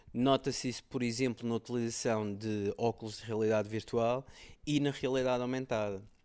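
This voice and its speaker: A man's medium-pitched voice, monotone and flat in intonation, at a moderate pace against a quiet background. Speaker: tech podcast co-host. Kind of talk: casual chat.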